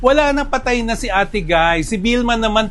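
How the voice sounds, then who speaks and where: A man talks at a moderate pace over noticeable background noise, with audible echo in the room. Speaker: film director and entertainment writer. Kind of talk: opinion commentary. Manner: animated, raised voice.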